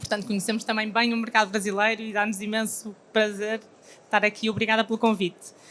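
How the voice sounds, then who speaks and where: Here a woman speaks at a moderate pace. Her pitch is fairly high. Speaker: company representative. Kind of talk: panel discussion.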